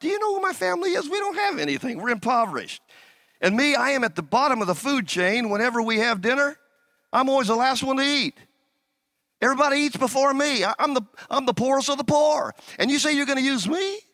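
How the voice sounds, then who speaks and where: A man speaks at a very fast pace in an extremely high pitch, his raised, projected voice carrying a warm, animated tone and lively intonation. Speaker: pastor. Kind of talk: sermon. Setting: church with a congregation. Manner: animated, call-and-response preacher in full flow, urging the congregation to say amen; warm, fervent, exhorting.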